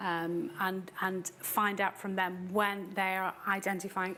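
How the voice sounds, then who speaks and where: Woman with a British accent, medium pitch and monotone, flat intonation. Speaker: tax authority official presenting. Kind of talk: seminar presentation.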